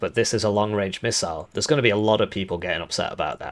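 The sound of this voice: This man's voice is raspy and fairly low in pitch. He talks at a very fast pace. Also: ordinary pitch variation.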